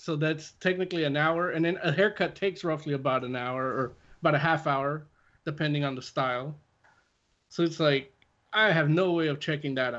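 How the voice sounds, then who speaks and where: Over a quiet background, a man with a fairly high pitch speaks at a fairly quick pace with ordinary pitch variation. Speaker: comic book podcast co-host. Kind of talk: casual chat. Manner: loud.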